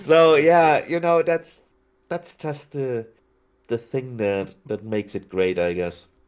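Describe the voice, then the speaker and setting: In a slight German accent, a man speaks at a very slow pace and a medium pitch with very wide pitch swings. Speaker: city-building video creator, podcast guest. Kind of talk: casual chat.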